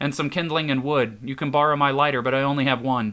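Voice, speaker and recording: A man's put-on character voice at medium pitch, very fast pace, and fairly even intonation. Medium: read story. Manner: anxious, guarded.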